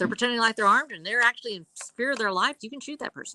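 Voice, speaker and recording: Dry and close with no echo, a woman's bright, sharp voice carries lively intonation. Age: 60s. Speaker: published author and former investigator. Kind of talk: panel discussion on a livestream. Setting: live video stream.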